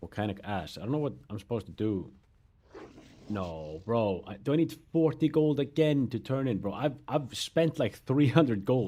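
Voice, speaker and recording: With a non-native accent and a dark, mellow tone, a man speaks at a moderate pace with very wide pitch swings. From Europe. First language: not English. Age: 30s. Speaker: gaming streamer. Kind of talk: casual chat.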